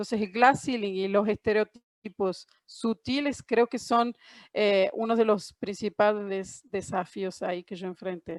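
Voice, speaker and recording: With a Córdoba Argentine accent, a woman speaks at a fairly slow pace and medium pitch with fairly even intonation, in a dry, close sound with no echo. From Argentina, Córdoba. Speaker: panelist, trade professional. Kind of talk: panel discussion. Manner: hesitant, many fillers.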